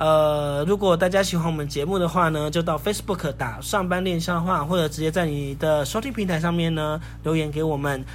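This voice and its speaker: A man talks at a fairly quick pace with a fairly high pitch and fairly even intonation. The room echo is audible. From northern Taiwan, Sanchong. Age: 30s. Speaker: podcast host. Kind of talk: casual chat.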